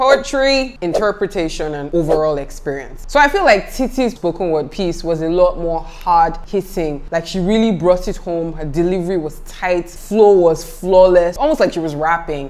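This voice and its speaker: A woman with a fairly low voice talks at a moderate pace with hardly any pauses. Her tone is upbeat and her intonation lively. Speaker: YouTube reviewer. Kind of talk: casual talk to camera. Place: home room.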